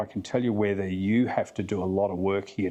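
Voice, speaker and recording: Speaking with an Australian accent, a man has a fairly low pitch and a dark, mellow tone. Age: 60s. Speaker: flyfishing guide and casting instructor. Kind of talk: podcast interview.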